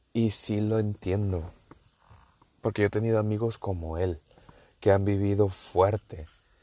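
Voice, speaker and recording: In a northern Mexican accent, a man with a fairly low pitch and dark, mellow tone speaks fairly slowly and flatly, in a monotone, with long, frequent pauses. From northern Mexico. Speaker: podcaster. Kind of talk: casual monologue. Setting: in a car.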